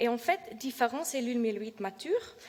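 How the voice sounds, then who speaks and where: In a non-native accent, a woman speaks at a moderate pace with a fairly high pitch. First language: not French (speaking French). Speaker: PhD researcher presenting her work. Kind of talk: scientific presentation. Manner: halting, many hesitations and self-corrections; reading from notes.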